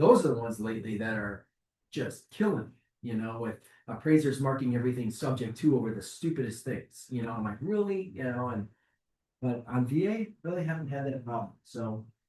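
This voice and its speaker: A man with an American accent talks at a fairly quick pace and a medium pitch, with lively intonation. His tone is dark and mellow, and somewhat breathy. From Chicago, US Midwest. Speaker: mortgage lender. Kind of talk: presentation to realtors. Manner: fast.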